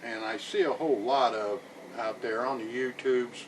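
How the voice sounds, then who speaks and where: Medium-pitched man's voice, relaxed in tone, over noticeable background noise. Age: 60s. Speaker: outdoor vlogger. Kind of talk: casual talk to camera. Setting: outdoors on cabin porch. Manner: relaxed, unhurried.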